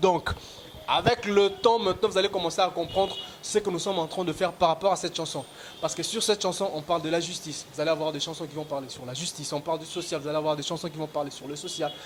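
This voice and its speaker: Over noticeable background noise, a man with a Congolese accent speaks at a very fast pace, with a high pitch and ordinary pitch variation. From DR Congo, Bandundu. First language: Dinga (speaking French). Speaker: rapper. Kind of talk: interview.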